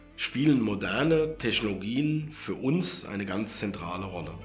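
Faint music plays behind a man who speaks at a fairly slow pace with lively intonation. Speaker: company owner, second generation. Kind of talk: interview answer. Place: studio.

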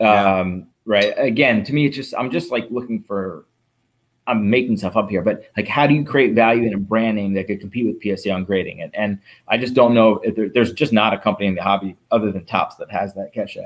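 In a normal speaking voice, a man talks at a fairly quick pace and medium pitch with ordinary pitch variation. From Philadelphia, US. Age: 40s. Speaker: entrepreneur, marketplace founder; podcast guest. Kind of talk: casual interview. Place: home room. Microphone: video call.

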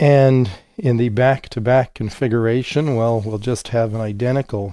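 A man speaks slowly at a medium pitch. His tone is dark and mellow, with ordinary pitch variation.

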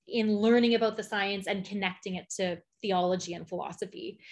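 Woman with a Canadian accent, somewhat breathy, with ordinary pitch variation. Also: quiet background. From Canadian prairies, Alberta. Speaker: physicist. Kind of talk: conference talk. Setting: video call. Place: home room. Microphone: webcam.

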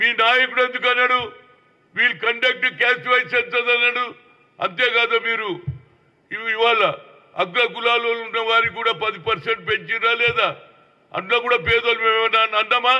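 This man's voice is extremely high in pitch, with fairly even intonation. His loudness stays very even, and he speaks with a Telangana accent. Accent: Telangana Telugu. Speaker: politician. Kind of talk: political statement to the press.

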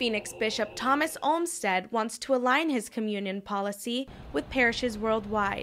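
A woman's ordinary speaking voice at medium pitch and moderate pace, with lively intonation. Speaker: news reporter. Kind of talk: news reading, scripted TV-style report voiceover, polished and even. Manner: formal, measured, steady broadcast delivery.

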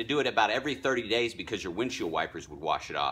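A man's voice with a bright, sharp tone. Vocal fry runs through it. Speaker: vlogger giving driving tips. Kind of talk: casual product tutorial. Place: street. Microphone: phone near.

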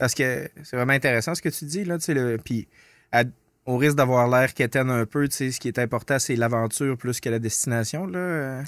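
A man talks at a fairly quick pace with ordinary pitch variation. The sound is dry with no echo, over a quiet background. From northern Quebec. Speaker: podcast host. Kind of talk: casual chat. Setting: studio. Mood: relaxed, reflective. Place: studio. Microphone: studio mic.

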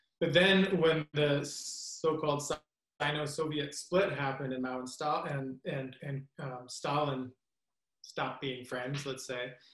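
A man talks at a moderate pace with a fairly high pitch and fairly even intonation. The background is quiet, though some room echo can be heard. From Western Canada. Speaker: history professor. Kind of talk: panel discussion. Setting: video call. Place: home room. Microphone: webcam.

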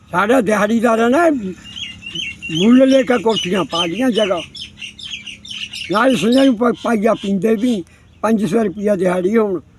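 Against noticeable background noise, a man with a high pitch speaks at very even loudness and with ordinary pitch variation. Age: 80s+. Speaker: elderly villager interviewee. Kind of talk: interview.

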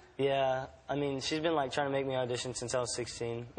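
The speaker is a man. His intonation is monotone and flat. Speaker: talk show guest. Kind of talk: interview answer. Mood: shy, nervous, laughing. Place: stage. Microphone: lapel.

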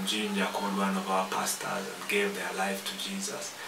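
Noticeable background noise sits behind a man's voice. He speaks at a moderate pace with monotone, flat intonation. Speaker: preacher hosting a TV ministry program. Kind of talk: sermon. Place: studio.

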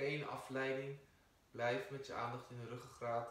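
Amid audible room echo, a man speaks at a fairly slow pace in a calm, soothing tone with monotone, flat intonation. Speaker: yoga teacher. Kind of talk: guided meditation. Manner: slow, calm, soothing; soft-spoken, measured. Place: empty room. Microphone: camera far.

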